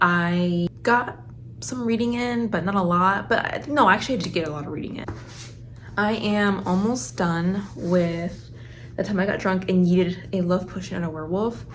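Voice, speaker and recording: Speech at a moderate pace with ordinary pitch variation and audible room echo. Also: woman, medium pitch for a woman. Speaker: book vlogger. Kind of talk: casual vlog talk. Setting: home, handheld then tripod. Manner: chatty, rambling.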